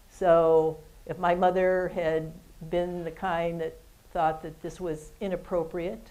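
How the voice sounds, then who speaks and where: A woman with an American accent: fairly low-pitched, with a dark, mellow tone, flat monotone intonation and a fairly slow pace. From Ohio, US Midwest. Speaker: retired athletics administrator; interview guest. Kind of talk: interview on stage. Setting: stage with audience. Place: studio.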